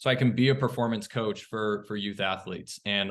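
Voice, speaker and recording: The speaker keeps a moderate pace with a monotone, flat intonation. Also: man. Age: 30s. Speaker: former athlete and sports psychology student. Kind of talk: panel discussion, personal story. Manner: halting, many fillers.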